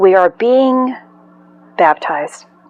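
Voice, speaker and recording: An excited tone with lively intonation over noticeable background noise. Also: woman. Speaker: spiritual channel host. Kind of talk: spiritual energy update monologue. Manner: pauses often.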